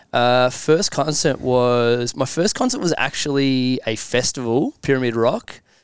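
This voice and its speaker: A man's Australian accent at medium pitch, moderate pace and ordinary pitch variation. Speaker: company leader. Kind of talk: casual chat.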